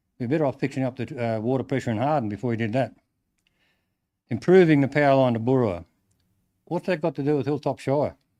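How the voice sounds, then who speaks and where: Over a quiet background, a man with an Australian accent and a medium pitch talks at a very fast pace with long, frequent pauses, ordinary pitch variation and a dark, mellow tone. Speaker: farmer addressing council public forum. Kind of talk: public forum address.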